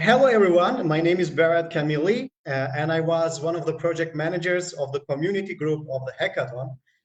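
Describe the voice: A man talks at a fairly quick pace with a fairly high pitch. Audible room echo surrounds his voice. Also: ordinary pitch variation.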